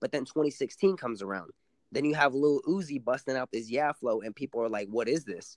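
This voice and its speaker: In an ordinary speaking voice with an American accent, a man talks at a fairly quick pace and medium pitch with lively intonation, the sound dry and close with no echo against a quiet background. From San Antonio, Texas (west side). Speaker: rapper. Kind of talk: interview.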